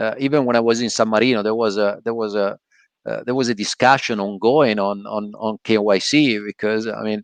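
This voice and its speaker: Speaking in an Italian accent, a man has a medium pitch and a fairly quick pace. The sound is dry and close with no echo. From Italy. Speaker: podcast host. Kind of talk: casual chat. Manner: halting, many fillers.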